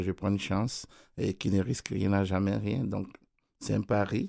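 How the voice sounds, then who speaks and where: A man's fairly low voice stays flat and monotone in a very clean recording with a silent background. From Ivory Coast. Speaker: keyboardist and music producer. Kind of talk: radio interview. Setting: studio.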